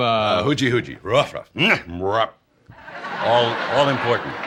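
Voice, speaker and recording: A man talks at a fairly slow pace at medium pitch, with ordinary pitch variation and an American accent. It is an unremarkable speaking voice. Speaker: announcer, voice-over artist. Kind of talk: interview answer.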